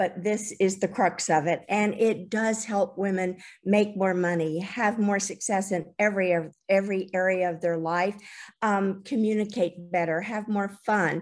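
A woman's normal speaking voice at medium pitch, fairly slow and fairly even in intonation, over a quiet background. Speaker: coach. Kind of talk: casual sharing. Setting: video call. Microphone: video call.

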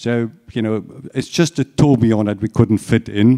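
A man with a German accent speaks at a moderate pace with a fairly low pitch and ordinary pitch variation. His tone is dark and mellow, and the background is quiet. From Germany. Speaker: watch company executive. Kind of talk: lecture. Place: hall.

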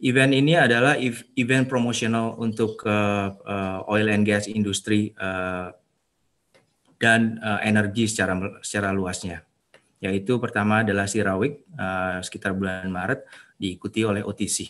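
Fairly even intonation from a man, pitched fairly low and paced fairly slowly. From Indonesia. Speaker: energy industry professional; webinar presenter. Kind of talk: webinar presentation. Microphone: video call.

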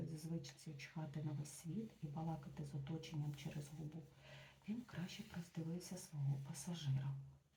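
The voice is quiet, with noticeable background noise behind it. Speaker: ASMR book reader. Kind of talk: reading aloud. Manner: quiet voice; soft-spoken.

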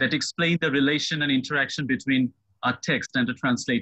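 A man's bright, sharp tone with vocal fry. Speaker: professor, webinar convener. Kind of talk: formal introduction. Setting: video call. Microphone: video call.

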